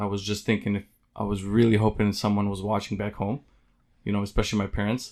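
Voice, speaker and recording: Against a quiet background, a man speaks flatly and in a monotone at a fairly low pitch. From West Bank, Palestine. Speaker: baseball player. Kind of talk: interview.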